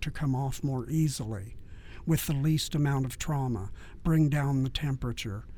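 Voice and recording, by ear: A passage is read aloud in a natural voice.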